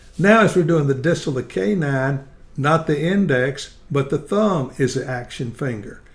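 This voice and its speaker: A man talks at a moderate pace with a fairly high, somewhat breathy voice. His pitch varies in an ordinary way. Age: 80s+. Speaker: dentist and dental educator. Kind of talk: tutorial.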